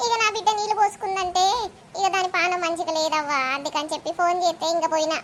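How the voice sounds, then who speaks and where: A woman's cartoonish character voice at an extremely high pitch, with ordinary pitch variation, a moderate pace and clear background noise. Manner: chatty, sympathetic.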